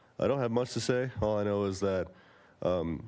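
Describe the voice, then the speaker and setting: A man speaks at a moderate pace in a normal speaking voice, fairly low in pitch. His intonation is fairly even, and the recording is very clean, with a silent background. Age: 20s. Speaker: person in addiction recovery. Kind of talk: public testimony.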